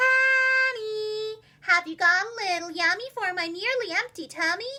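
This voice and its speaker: A woman's squeaky, put-on character voice at a fairly slow pace, with music in the background. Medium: read story.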